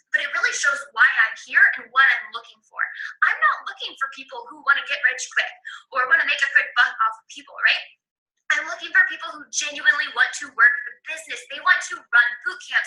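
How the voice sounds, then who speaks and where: A woman's high-pitched, raised and projected voice, with lively intonation, big swings in loudness and a fairly quick pace. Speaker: fitness coach. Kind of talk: coaching tutorial. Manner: fast.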